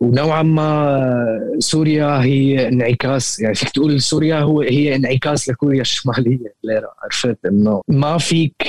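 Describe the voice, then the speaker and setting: A man talks at a very slow pace in a medium pitch. His pitch varies in an ordinary way. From Damascus, Syria. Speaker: rapper and music producer. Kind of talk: podcast interview. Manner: hesitant, many fillers, mixes in English words.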